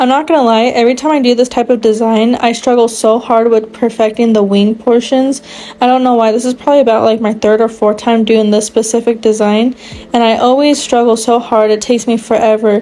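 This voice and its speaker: Over noticeable background noise, a woman talks at a fairly quick pace with fairly high pitch. Her intonation is monotone and flat, and her loudness stays very even. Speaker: nail art youtuber. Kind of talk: tutorial voiceover. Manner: halting, stuttering.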